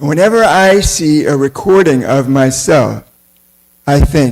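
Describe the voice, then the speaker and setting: A plain, everyday voice with lively intonation. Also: man. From United States. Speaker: temple lecturer on scripture. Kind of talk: religious class lecture.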